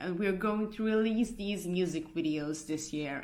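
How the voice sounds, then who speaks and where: Heard with audible room echo, a woman with a Hungarian accent speaks at a fairly slow pace in a fairly low pitch with ordinary pitch variation. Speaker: punk band singer. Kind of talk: casual vlog update. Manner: halting, many fillers and restarts.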